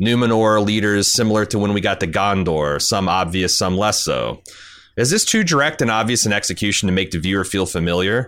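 In an American accent, a man with an ordinary speaking voice talks at a fairly quick pace with a fairly low pitch, ordinary pitch variation and very even loudness, on a very clean recording with a silent background. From US. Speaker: podcast host. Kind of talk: casual chat.

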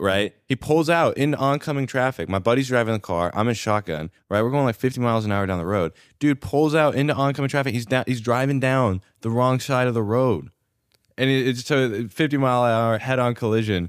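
In a normal speaking voice, a man talks at medium pitch and a fairly quick pace with ordinary pitch variation and very even loudness. The recording is very clean, with a silent background. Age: 20s. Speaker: content creator. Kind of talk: casual chat.

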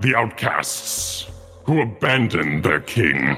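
A man's put-on character voice of medium pitch, with a solemn tone, very wide pitch swings, a fairly slow pace and clear music in the background. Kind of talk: ancient undead oracle. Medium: actual play. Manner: solemn, archaic.

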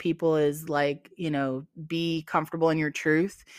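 Speaking at a moderate pace, a woman has an unremarkable speaking voice with a fairly low pitch. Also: very clean recording, silent background. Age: 40s. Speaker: adult content creator. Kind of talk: casual interview chat.

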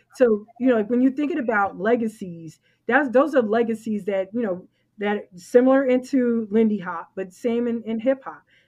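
A woman with a New York accent, fairly high pitch, and a moderate pace. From New York, the Bronx. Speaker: swing dance organizer. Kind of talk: casual chat.

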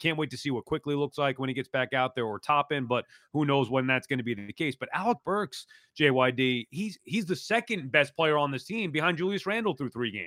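Using a normal speaking voice, a man speaks at a fairly quick pace with lively intonation and a fairly high pitch. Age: 40s. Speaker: sports podcast host. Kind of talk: casual sports talk.

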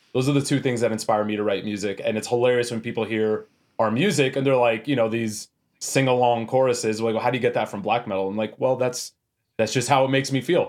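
On a very clean recording with a silent background, a man with a western Canadian accent speaks at a very fast pace and medium pitch. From Canada, Edmonton, Alberta. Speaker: metal band vocalist. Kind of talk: casual interview chat. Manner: animated, casual.

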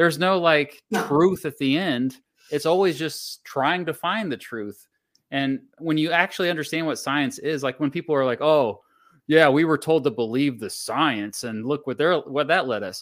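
A man with an American accent speaks in a normal speaking voice, fairly high in pitch. He keeps a moderate pace with ordinary pitch variation. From United States. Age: 40s. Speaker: history YouTuber. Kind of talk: casual interview chat. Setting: live-streamed video call.

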